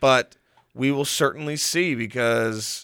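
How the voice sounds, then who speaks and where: Very clean recording, silent background, and a man speaking. His voice sits at a medium pitch. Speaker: college radio host. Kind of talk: casual chat. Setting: studio. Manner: loud.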